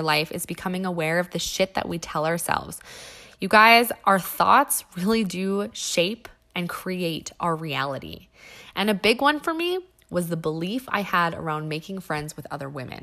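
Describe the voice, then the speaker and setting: A woman with a Western Canadian accent at a moderate pace and medium pitch, her tone bright and sharp, her intonation lively, on a very clean recording with a silent background. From western Canada (Alberta and British Columbia). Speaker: podcast host. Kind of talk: solo podcast monologue.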